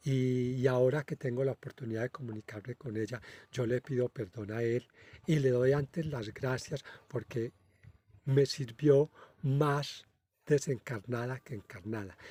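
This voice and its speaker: A man speaks at a fairly slow pace in a dark, mellow, somewhat breathy tone with fairly even intonation, recorded very cleanly against a silent background with a dry, close sound and no echo. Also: medium pitch for a man. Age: 60s. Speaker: spiritual medium, channel host. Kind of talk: casual monologue. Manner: halting, many filler hesitations.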